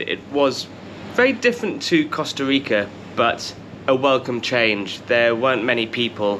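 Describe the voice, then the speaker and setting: With a British accent, a man speaks at a medium pitch and a fairly slow pace against noticeable background noise. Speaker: travel vlogger. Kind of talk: casual travel talk to camera. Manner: casual, conversational.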